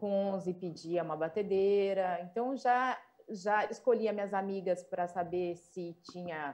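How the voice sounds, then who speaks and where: A woman talks with an interior São Paulo accent at a fairly slow pace. Her pitch is medium, with ordinary variation. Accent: caipira countryside. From Brazil, São Paulo interior. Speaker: chef, food institute founder. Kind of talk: panel discussion. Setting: remote video call.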